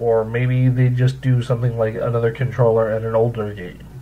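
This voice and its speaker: A man talks with a somewhat breathy voice. His intonation stays monotone and flat. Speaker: video game commentator. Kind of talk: casual opinion rant to camera.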